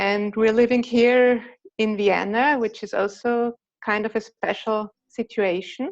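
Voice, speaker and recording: A woman talks at a fairly slow pace with fairly even intonation. Her pitch sits fairly high. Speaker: participant in a Zen group call. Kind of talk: personal sharing in a group video call. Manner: halting, repeating words.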